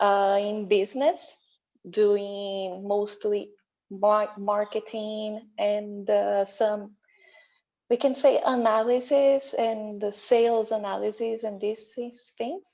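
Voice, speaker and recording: In a Portuguese accent, a woman with a fairly high pitch and a dark, mellow tone speaks at a very slow pace with fairly even intonation. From Brazil. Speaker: IT analyst. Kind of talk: panel discussion.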